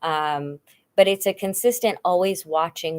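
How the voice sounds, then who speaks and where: A woman's voice with ordinary pitch variation. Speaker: video blogger. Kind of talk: casual livestream chat. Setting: home livestream, cuddled up with blanket. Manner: halting, searching for words.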